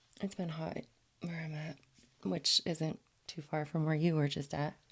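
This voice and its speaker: Somewhat breathy, a woman speaks at a very deep, low pitch with fairly even intonation. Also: moderate pace. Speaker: livestreamer. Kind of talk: casual chat. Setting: livestream.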